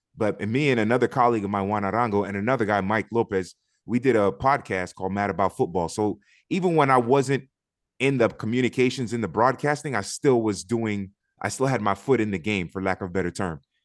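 A man talks at a very fast pace with a Miami accent and a fairly low pitch. His pitch varies in an ordinary way, and the background is quiet. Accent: Miami American English. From Miami, Florida (Liberty City), Haitian family. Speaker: soccer pundit and commentator. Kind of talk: casual interview chat. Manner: talkative.

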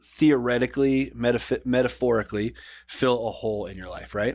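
On a very clean recording with a silent background, a man of medium pitch talks at a moderate pace in an unremarkable speaking voice. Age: 40s. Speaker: podcast producer and host. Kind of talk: casual chat.

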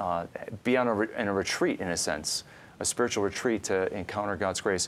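A man with an American accent speaks at a fairly quick pace in a plain, everyday voice. His pitch is fairly low and his intonation fairly even. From northern Illinois. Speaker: podcast host and Bible scholar. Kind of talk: interview. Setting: studio.

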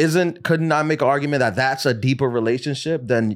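A man with an ordinary speaking voice talks at a fairly quick pace with ordinary pitch variation, in a very clean recording with a silent background. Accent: American. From New York City. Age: 30s. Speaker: comedian. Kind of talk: casual chat.

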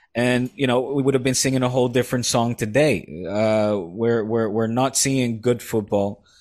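In a very clean recording with a silent background, a man at medium pitch keeps a moderate pace, very even loudness and hardly any pauses. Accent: Dutch. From Netherlands. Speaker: football TV presenter and podcast co-host. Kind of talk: casual chat. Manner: animated.

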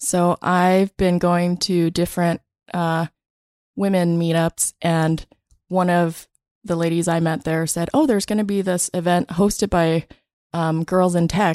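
A woman with an unremarkable speaking voice talks at a fairly slow pace and a fairly low pitch, with fairly even intonation and very even loudness. The sound is dry and close with no echo, in a very clean recording with a silent background. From Vietnam, raised in US from childhood. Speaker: tech company CTO. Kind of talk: interview. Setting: studio.

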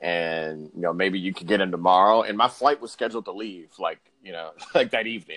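A man with a plain, everyday voice speaks fairly quickly at a fairly low pitch with ordinary pitch variation, in a dry, close sound with no echo. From Houston, Texas. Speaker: sports journalist. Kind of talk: interview.

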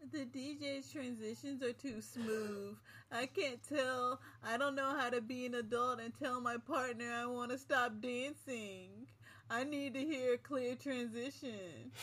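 This put-on character voice sounds whiny, with a whiny tone and a fairly high pitch. It moves at a fairly slow pace. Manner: whiny, complaining.

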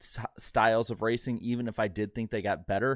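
A man with a plain, everyday voice at medium pitch, speaking at a moderate pace on a very clean recording with a silent background. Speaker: podcast co-host.

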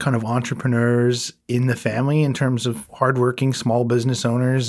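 A man with an Atlantic Canadian accent and a medium pitch speaks at a moderate pace on a very clean recording with a silent background. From Prince Edward Island. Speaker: entrepreneur, spirits company president. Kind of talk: casual interview conversation.

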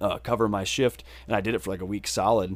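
A normal speaking voice: a man with an American accent and a fairly low pitch. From southwestern Wisconsin. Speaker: musician. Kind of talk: casual chat.

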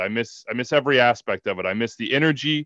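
A man with a Midwestern American accent speaks at a fairly quick pace with fairly even intonation. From Kansas, US. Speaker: soccer broadcaster. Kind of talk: interview.

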